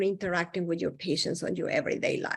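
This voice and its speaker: Over a quiet background, a woman talks with a non-native accent. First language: not English. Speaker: psychologist presenting to health providers. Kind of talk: lecture.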